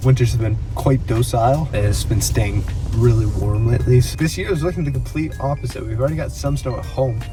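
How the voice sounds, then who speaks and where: A man talks at a very fast pace, with audible room echo and music in the background. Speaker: drone pilot YouTuber. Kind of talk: outdoor vlog narration. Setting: outdoors in winter, partly in car. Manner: soft-spoken.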